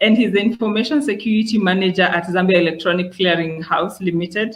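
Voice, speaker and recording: A man's raised, projected voice, high in pitch with ordinary pitch variation, at a fairly quick pace. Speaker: webinar host. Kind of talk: webinar introduction. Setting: online webinar.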